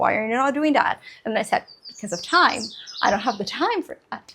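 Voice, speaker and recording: A woman with a high pitch and very wide pitch swings, talking at a fairly quick pace over noticeable background noise. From Brazil. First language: Portuguese. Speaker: book vlogger. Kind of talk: casual chat. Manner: fast.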